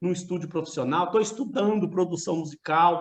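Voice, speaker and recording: With a Minas Gerais accent, a man speaks at a moderate pace in a high voice with ordinary pitch variation. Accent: mineiro. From Minas Gerais, Brazil. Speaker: university professor. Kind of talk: lecture. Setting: video call; home studio. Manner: casual, conversational.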